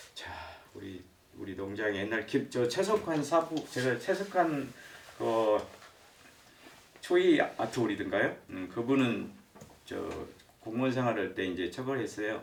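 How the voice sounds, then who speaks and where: A man speaks at a fairly slow pace, with long, frequent pauses and audible room echo. His pitch swings very widely and his loudness rises and falls sharply. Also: medium pitch for a man. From provincial South Korea. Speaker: lecturer, retired civil servant. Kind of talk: lecture. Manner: hesitant, many fillers.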